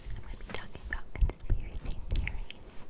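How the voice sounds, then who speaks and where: A whisper over noticeable background noise, at a moderate pace. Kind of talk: ASMR whisper ramble. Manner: casual, rambling.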